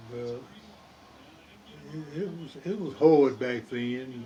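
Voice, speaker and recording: With an American accent, a man talks at a medium pitch, his pitch varying in an ordinary way. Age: 80s+. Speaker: retired worker recounting life story. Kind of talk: interview answer.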